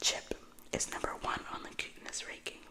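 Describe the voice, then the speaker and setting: Whispering at a moderate pace, with noticeable background noise. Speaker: ASMR creator. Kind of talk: read story. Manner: whispered.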